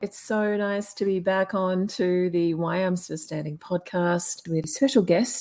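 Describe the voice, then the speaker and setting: A woman speaks at a fairly slow pace. She has a normal speaking voice with ordinary pitch variation. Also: medium pitch for a woman. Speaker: podcast host. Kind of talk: podcast introduction. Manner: upbeat.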